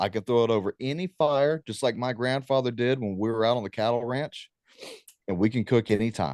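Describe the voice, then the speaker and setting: A man with an American accent speaks at a fairly quick pace in an unremarkable speaking voice. His pitch is medium, with ordinary pitch variation. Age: 30s. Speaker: war veteran and talk show host. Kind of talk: guest talk on preparedness. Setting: video call.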